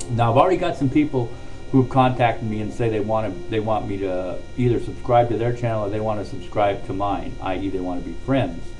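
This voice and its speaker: A man speaks fairly quickly. Audible room echo and noticeable background noise accompany him. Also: medium pitch for a man, ordinary pitch variation. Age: 60s. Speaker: vlogger. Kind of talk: personal monologue to camera. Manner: casual, hesitant with fillers.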